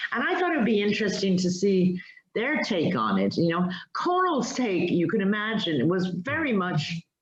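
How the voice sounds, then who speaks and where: A woman at medium pitch, with lively intonation, a moderate pace, very even loudness and audible room echo. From multicultural upbringing, not Irish. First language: Spanish. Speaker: writer. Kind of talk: interview.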